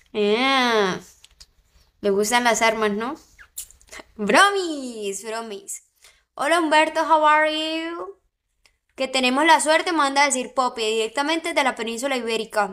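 Over a quiet background, a woman with a high pitch and a bright, sharp, animated tone speaks at a fairly slow pace, using lively intonation and long, frequent pauses. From Colombian Caribbean coast, Barranquilla; Colombian Caribbean coast. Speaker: live streamer. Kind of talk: casual livestream chat with viewers. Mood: playful, joking. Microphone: phone near.

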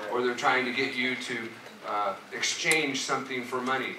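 Noticeable noise sits behind a man who speaks at a moderate pace. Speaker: pastor. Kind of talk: sermon. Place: church.

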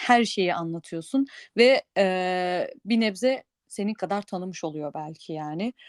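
Recorded very cleanly with a silent background and a dry, close sound with no echo, a woman speaks at a very slow pace, her medium pitch showing ordinary variation. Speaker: podcast co-host. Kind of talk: casual chat. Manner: hesitant, many fillers.

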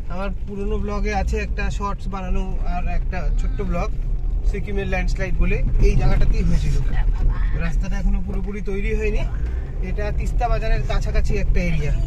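A man's voice, dry with no echo, over loud background noise. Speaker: travel vlogger. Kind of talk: casual vlog commentary. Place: car. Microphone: phone near.

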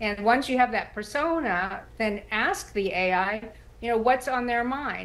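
With an American accent, the voice shows ordinary pitch variation. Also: woman. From Texas. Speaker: writer and former journalist; former journalist. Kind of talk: TV interview. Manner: halting. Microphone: video call.

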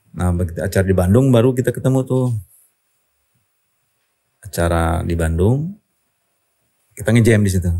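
A man speaks in a dark, mellow tone at a fairly low pitch over a quiet background. He talks at a fairly quick pace with ordinary pitch variation and long, frequent pauses. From Indonesia. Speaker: rock singer; podcast guest. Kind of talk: interview answer. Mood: relaxed, reflective. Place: studio. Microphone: studio mic.

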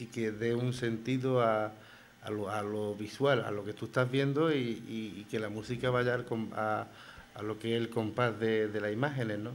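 Light background noise accompanies speech delivered in a monotone, flat intonation. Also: man, moderate pace. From Spain, Granada (Albaicín); Spain. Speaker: writer and flamenco figure; radio guest. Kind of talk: radio interview. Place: studio. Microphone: studio mic.

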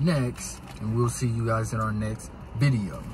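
Light background noise sits behind a man whose sound is dry with no echo. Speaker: vlogger. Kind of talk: casual vlog chat. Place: car.

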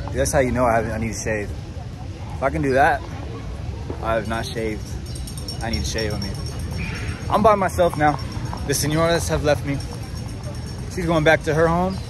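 Over clear background music, a man talks at a fairly quick pace. The sound is dry, with no echo. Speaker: travel vlogger. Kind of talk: casual vlog chat. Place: street. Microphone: phone near.

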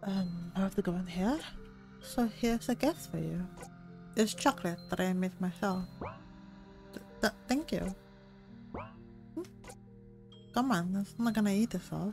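A woman at a medium pitch with ordinary pitch variation, a fairly slow pace and long, frequent pauses, music in the background. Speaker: gamer. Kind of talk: let's play commentary. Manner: soft-spoken.

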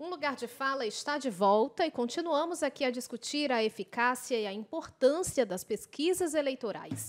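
The speech has lively intonation and hardly any pauses. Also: woman, high pitch for a woman, moderate pace. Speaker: TV and radio debate host; radio debate host. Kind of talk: broadcast debate moderation. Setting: studio. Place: studio. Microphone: podium.

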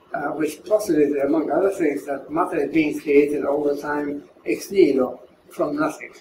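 A man talks at a moderate pace with fairly even intonation, with audible room echo and light background noise. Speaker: philosopher of science. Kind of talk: interview answer. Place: home room.

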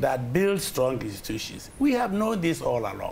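A man at a fairly quick pace, with very wide pitch swings, over light background noise. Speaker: interview guest. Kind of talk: interview answer. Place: studio. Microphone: lapel.

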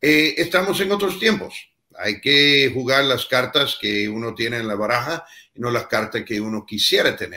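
The man's tone is bright and sharp, with lively intonation. He keeps a moderate pace over a quiet background. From United States. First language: English (speaking Spanish). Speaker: former US ambassador; guest. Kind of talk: panel discussion. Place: home room.

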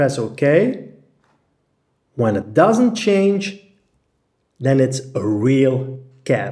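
A man speaks at a very slow pace and medium pitch, somewhat breathy, with long, frequent pauses. His pitch moves in very wide swings. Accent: Dutch. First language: Dutch. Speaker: graphic design tutor. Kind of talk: tutorial.

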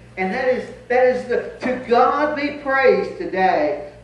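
A man's fairly slow speech with lively intonation and audible room echo. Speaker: pastor. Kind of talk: sermon. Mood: joyful, grateful. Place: church.

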